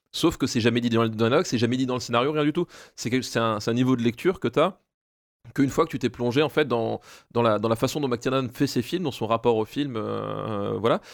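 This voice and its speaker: The recording is very clean, with a silent background, as a man talks at a fairly quick pace. He has an ordinary speaking voice with ordinary pitch variation. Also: medium pitch for a man. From Alsace, France. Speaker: primary school teacher. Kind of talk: casual chat.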